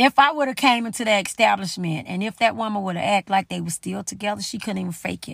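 Somewhat breathy and animated, the voice moves with lively intonation in a very clean recording with a silent background. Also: woman. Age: 50s. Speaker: podcast host. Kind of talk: casual monologue.

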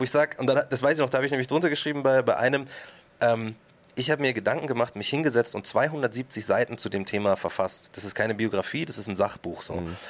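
A man's voice sits at a medium pitch. He rushes along at a very fast pace. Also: ordinary pitch variation. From Upper Bavaria, Germany (Markt Schwaben near Munich). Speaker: rapper and author. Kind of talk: casual interview chat.

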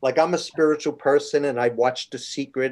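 A man with an American accent and an ordinary speaking voice, moderate pace and ordinary pitch variation, on a very clean recording with a silent background. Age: 60s. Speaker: TV stage manager and musician. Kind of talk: interview.

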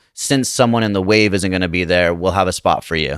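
Over a silent background on a very clean recording, a man with an American accent has an unremarkable speaking voice, fairly low in pitch with ordinary pitch variation. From Utah, Salt Lake City. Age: 30s. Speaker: stand-up comedian and actor. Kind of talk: casual chat.

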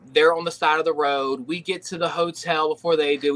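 A man with an unremarkable speaking voice talks at a fairly quick pace and a fairly high pitch. The sound is dry and close, with no echo. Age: 30s. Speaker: professional wrestler. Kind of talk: casual chat.

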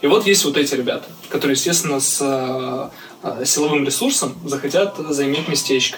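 Talking at a fairly quick pace, a man with a fairly high voice is heard over noticeable background noise in audible room echo. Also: ordinary pitch variation. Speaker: hip-hop artist and music producer. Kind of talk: casual chat. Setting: video call.

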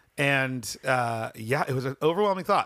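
A man with a fairly high pitch speaks in a bright, sharp tone with lively intonation. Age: middle-aged. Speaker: podcast host and musician. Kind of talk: casual interview chat. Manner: halting, with many fillers.

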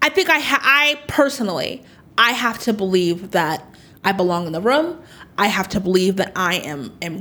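A loud woman with an American accent has a bright, sharp tone. She moves at a moderate pace with very wide pitch swings. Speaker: political insider. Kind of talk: interview. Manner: loud talker.

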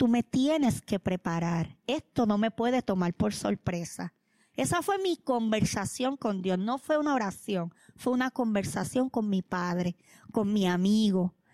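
Delivered at a fairly slow pace with a Puerto Rican accent, the voice has a dark, mellow tone, very even loudness, and a dry, close sound with no echo. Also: woman, medium pitch for a woman, lively intonation, very clean recording, silent background. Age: 40s. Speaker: pastor. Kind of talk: testimony.

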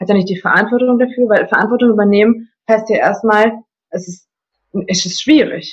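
She has a normal speaking voice at a fairly high pitch. The woman's pitch varies in an ordinary way. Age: 20s. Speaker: coaching client, customer service manager. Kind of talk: casual interview.

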